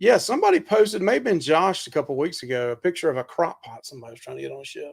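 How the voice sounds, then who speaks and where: Talking at a very fast pace, a man with a Southern US accent and a fairly high pitch makes very wide pitch swings. His loudness swings a lot too. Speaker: podcast host. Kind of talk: casual chat. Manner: animated.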